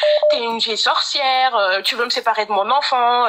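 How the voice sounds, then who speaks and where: The voice shows ordinary pitch variation. Background noise is noticeable. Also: woman. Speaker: caller seeking advice. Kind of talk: testimony.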